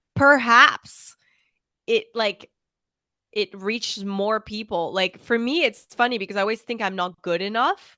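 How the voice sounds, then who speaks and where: The tone is bright and sharp, with a slight French accent, at a fairly slow pace. The sound is dry and close with no echo, and the background is quiet. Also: woman. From France, raised internationally. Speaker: fashion content creator. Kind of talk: casual chat. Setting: call.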